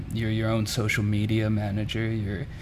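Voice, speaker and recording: A man with an American accent and fairly low pitch, at a moderate pace, with audible room echo and noticeable background noise. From Mississippi. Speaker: muralist. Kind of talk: interview.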